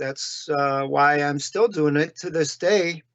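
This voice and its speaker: A man at a fairly slow pace with a fairly high pitch and fairly even intonation. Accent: Chicago. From US Midwest, Chicago area. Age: 60s. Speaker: illustrator. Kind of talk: interview.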